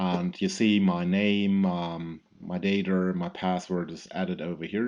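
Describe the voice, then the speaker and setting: A man talks with a German accent. His pitch varies in an ordinary way. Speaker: product specialist. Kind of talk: software tutorial. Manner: halting, many fillers.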